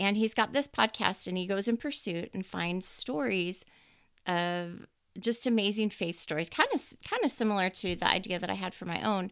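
Speaking at a moderate pace, a woman has a plain, everyday voice. Her pitch is medium, with ordinary variation. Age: 50s. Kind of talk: devotional monologue.

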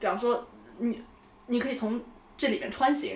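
Fairly quick speech over noticeable background noise. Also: woman. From China, Shandong (Yantai). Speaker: urban planner. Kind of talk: casual conversation.

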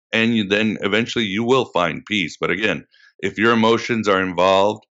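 A man is speaking. His voice has vocal fry. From Portugal. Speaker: podcast host, guest. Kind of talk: interview.

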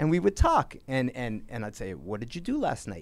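Vocal fry runs through this American accent. The pace is fairly quick. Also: man. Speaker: sports reporter. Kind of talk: interview.

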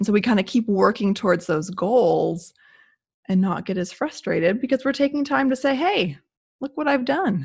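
Over a quiet background, a woman with a warm, somewhat breathy, fairly high voice speaks at a moderate pace, her pitch swinging very widely. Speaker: podcast co-host. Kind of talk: casual podcast chat. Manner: warm, conversational.

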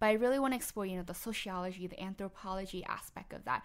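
A woman speaks with a Vietnamese accent at a medium pitch. Her pace is fairly quick and her intonation fairly even. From New Orleans West Bank, raised from age 8; early childhood Philippines and Vietnam. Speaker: public health doctoral student. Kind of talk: interview.

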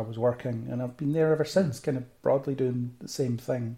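A man with a Central Belt Scottish accent, a dark, mellow tone and medium pitch, somewhat breathy, with fairly even intonation at a fairly quick pace. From Scotland, Falkirk. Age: 30s. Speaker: geek culture blogger and podcaster. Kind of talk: casual interview chat.

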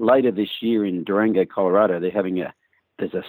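A man with an Australian accent talks at a very fast pace in a fairly low pitch, his intonation fairly even. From Australia, rural New South Wales. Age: 50s. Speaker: horse trainer. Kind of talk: interview.

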